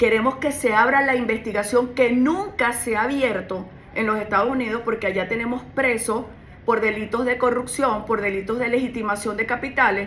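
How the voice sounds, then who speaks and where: At a moderate pace, a woman with a fairly high pitch is heard amid audible room echo and noticeable background noise. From Venezuela. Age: 60s. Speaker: criminal lawyer and political candidate. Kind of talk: radio interview. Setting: radio studio.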